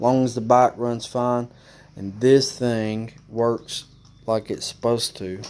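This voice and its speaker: A man with an Alabama accent speaks at a very slow pace in a medium pitch, his intonation monotone and flat. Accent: Alabama Southern. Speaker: motorcycle DIY youtuber. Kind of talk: tutorial. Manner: casual, hesitant with fillers.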